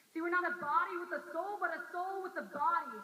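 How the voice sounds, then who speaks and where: A woman projects a raised voice at an extremely high pitch, bright and sharp in tone, with lively intonation. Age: 20s. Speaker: campus missionary. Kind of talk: spoken word poetry performance.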